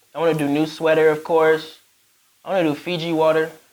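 A man's normal speaking voice, fairly high in pitch, at a fairly quick pace. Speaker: rapper and recording artist. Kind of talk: casual podcast interview. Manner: laid-back, slangy.

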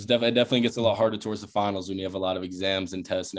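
A man's very deep, low voice at a very fast pace, with fairly even intonation. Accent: American. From South Carolina, Charleston. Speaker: college football player. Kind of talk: casual interview.

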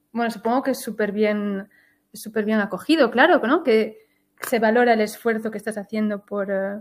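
This is a plain, everyday voice at a moderate pace with ordinary pitch variation, on a very clean recording with a silent background. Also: woman. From Switzerland, Galician-speaking family. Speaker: podcast host and Spanish teacher. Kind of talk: interview, casual chat.

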